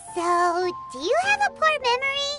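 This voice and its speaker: Over loud background noise, a squeaky, put-on character voice at an extremely high pitch moves at a moderate pace. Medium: fan dub. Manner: brash, energetic.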